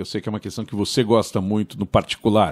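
A man talks at a fairly quick pace with a fairly low pitch. Behind him the background stays quiet. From Brazil, São Paulo. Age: 50s. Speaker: podcast host. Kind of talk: interview. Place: studio. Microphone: studio mic.

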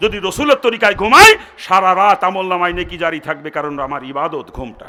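A man speaks in a raised, projected voice with a bright, sharp tone. His delivery is animated, with very wide pitch swings. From Bangladesh, greater Jessore (Narail). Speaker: Islamic preacher. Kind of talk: sermon.

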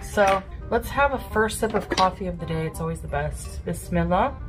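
Clear music plays in the background. A woman talks over it at a moderate pace. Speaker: food diary vlogger. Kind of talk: casual vlog chat. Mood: relaxed, chatty. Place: home room. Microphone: phone near.

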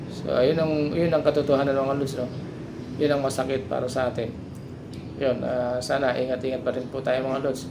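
Over noticeable background noise, a man speaks at a medium pitch in a monotone, flat delivery. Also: moderate pace. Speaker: vlogger. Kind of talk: angry rant about government and flood control, addressed to viewers. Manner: indignant, bitter, repetitive, pleading tone with rising emphasis; rambling, hesitant with fillers.

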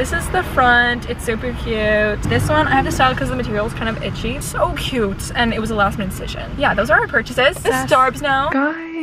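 Ordinary pitch variation runs through fairly quick speech. The sound is dry with no echo, and music plays in the background. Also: woman. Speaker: vlogger. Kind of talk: casual vlog chat. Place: car. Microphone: phone near.

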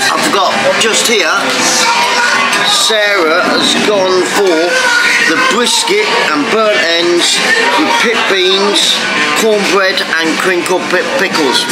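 A man speaks at a very slow pace, with long, frequent pauses and ordinary pitch variation. Loud music plays in the background. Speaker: food vlogger. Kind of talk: casual vlog chat. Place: cafe. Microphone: phone near.

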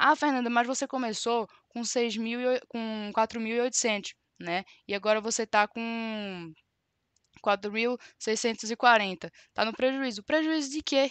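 A woman speaks at a very slow pace, her pitch fairly high with ordinary variation. The background is quiet and the sound is dry, with no echo. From Brazil, Recife (Pernambuco); Pernambuco, Brazil. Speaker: trading educator. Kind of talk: live-stream tutorial. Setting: live stream. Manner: animated. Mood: defensive, firm. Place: home room.

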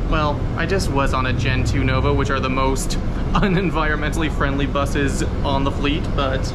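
Amid loud background noise, a man talks at a moderate pace. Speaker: transit enthusiast vlogger. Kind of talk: casual vlog chat. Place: bus. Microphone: phone near.

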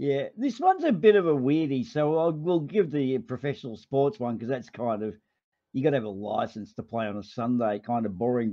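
This man speaks with an Australian accent at a moderate pace. His pitch swings very widely. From Australia (Melbourne). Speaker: livestream host. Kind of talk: casual chat.

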